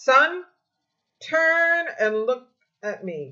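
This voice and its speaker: Using a put-on character voice, a woman speaks in a raised, projected voice at a high pitch. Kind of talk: formal, authoritative. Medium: read story.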